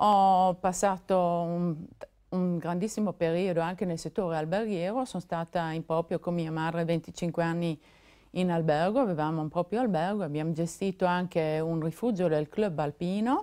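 A woman speaks at a fairly low pitch in a dark, mellow tone. Her intonation is fairly even, her pace moderate, and the background quiet. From South Tyrol, Italy (San Candido, Puster Valley); South Tyrol, Italy. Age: 50s. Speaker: political candidate; candidate. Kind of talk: televised election debate. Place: studio. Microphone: lapel.

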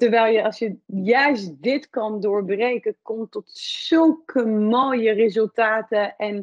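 Pitch variation is ordinary. The background is quiet. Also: woman. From France. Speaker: podcast host. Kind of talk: interview conversation. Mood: warm, enthusiastic. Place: office. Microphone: video call.

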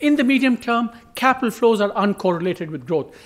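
Very wide pitch swings mark this man's speech. He talks at a fairly quick pace. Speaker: economist; speaker. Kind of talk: presentation. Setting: conference panel with audience. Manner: animated. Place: hall. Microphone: podium.

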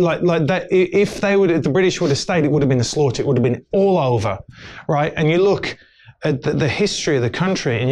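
Speaking with an English Midlands accent, a man sounds animated. His intonation is lively. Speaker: actor and filmmaker; interview guest. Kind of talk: casual interview chat. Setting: studio. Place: studio. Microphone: lapel.

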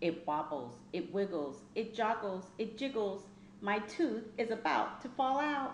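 Amid audible room echo, a woman with a medium pitch talks at a fairly slow pace with ordinary pitch variation.

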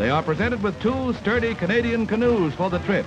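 The speaker has an American accent. Clear music plays in the background. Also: man. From United States. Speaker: newsreel narrator. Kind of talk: 1940s newsreel narration. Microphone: old recording.

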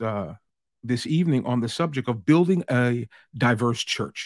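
A man speaks with lively intonation. The sound is dry with no echo, and the background is quiet. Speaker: pastor leading workshop. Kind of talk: sermon-like lecture. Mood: warm, earnest. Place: home room.

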